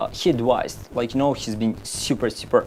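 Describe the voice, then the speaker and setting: Over noticeable background noise, a man speaks with a Russian accent. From Uzbekistan (Tashkent). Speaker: map designer. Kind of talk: casual interview chat.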